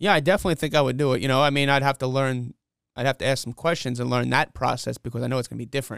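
Recorded dry and close with no echo on a very clean recording with a silent background, a man with a New York accent talks at a very fast pace in a medium-pitched voice with fairly even intonation. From New York City (Flushing, Queens). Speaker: comedy show promoter and comedian. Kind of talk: casual interview.

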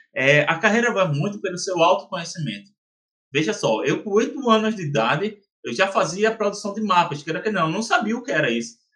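At a fairly quick pace, a man speaks with a bright, sharp tone. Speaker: geomarketing consultant and entrepreneur. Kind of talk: interview. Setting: podcast. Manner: animated.

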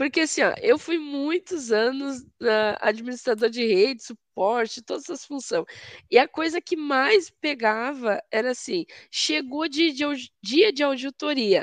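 A woman's high voice, fairly slow and lively in intonation, in a dry, close sound with no echo. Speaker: cloud security specialist. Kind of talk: technical live stream chat. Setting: online live stream.

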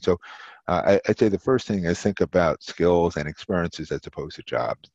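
In a dry, close sound with no echo and a quiet background, a man with a very deep, low pitch talks at a fairly quick pace with ordinary pitch variation. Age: 60s. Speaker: marketing professor and former executive. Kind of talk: interview.

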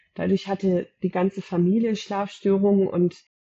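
A woman talks in a monotone, flat way. Her pitch is medium. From Germany, Gütersloh area. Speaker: eczema counselor and high-sensitivity expert. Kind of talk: interview.

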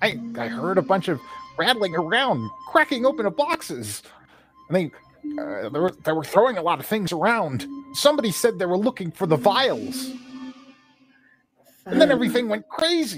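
A put-on character voice at a middle pitch swings very widely in pitch, with faint music in the background. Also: moderate pace. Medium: actual play. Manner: boastful bluster, then warm and relieved.

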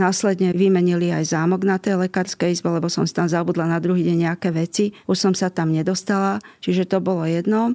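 Very fast delivery in a dark, mellow tone, with very even loudness and fairly even intonation, dry and close with no echo, on a very clean recording against a silent background. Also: woman, fairly low pitch for a woman. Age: 60s. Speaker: pediatrician. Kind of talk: interview.

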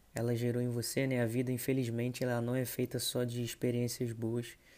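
A man at a medium pitch speaks in a dark, mellow tone with monotone, flat intonation. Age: 20s. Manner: informal, conversational.

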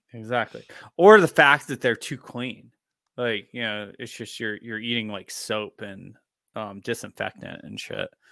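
With a bright, sharp tone and a medium pitch, a man speaks at a fairly slow pace with ordinary pitch variation and big swings in loudness, in a dry, close sound with no echo. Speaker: podcast co-host. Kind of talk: casual chat. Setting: remote call.

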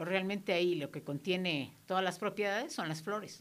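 An ordinary speaking voice from a woman, medium in pitch, at a moderate pace. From Mexico, Guerrero state. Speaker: therapist. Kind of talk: radio interview. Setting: radio studio.

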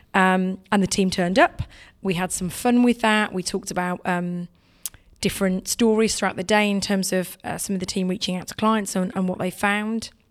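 In an English accent, a woman speaks at a medium pitch. Her intonation is monotone and flat. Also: moderate pace. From England. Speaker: technology sales leader. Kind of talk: interview.

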